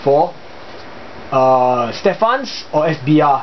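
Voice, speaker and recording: Noticeable background noise beneath a man speaking with lively intonation. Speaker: hobbyist video maker. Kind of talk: tutorial. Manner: casual, hesitant with fillers.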